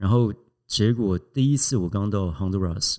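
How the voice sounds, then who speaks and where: On a very clean recording with a silent background and a dry, close sound with no echo, a man speaks at a fairly slow pace in a fairly low pitch with ordinary pitch variation. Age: 40s. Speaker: coffee company founder and hotel executive. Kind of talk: interview conversation.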